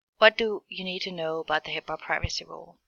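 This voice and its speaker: Fairly quick speech with a German accent and monotone, flat intonation. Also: woman. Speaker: healthcare administration student. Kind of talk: class presentation narration. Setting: screen recording.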